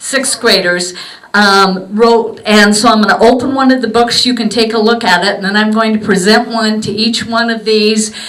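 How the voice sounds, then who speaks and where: Over noticeable background noise and audible room echo, a woman talks at a moderate pace. Her pitch is fairly high and her intonation fairly even. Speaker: museum volunteer presenting gifts to veterans. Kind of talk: short ceremony address. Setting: memorial museum event with audience. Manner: informal, hesitant; soft-spoken.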